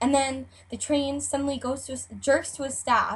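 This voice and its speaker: Over a quiet background, a woman with a Chicago accent speaks in a high pitch. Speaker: YouTube vlogger. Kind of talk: casual talk to camera.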